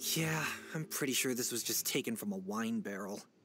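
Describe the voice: A woman's cartoonish character voice, extremely low in pitch, with a fairly bright tone, a slightly husky edge, lively intonation and a fairly quick pace, over faint music in the background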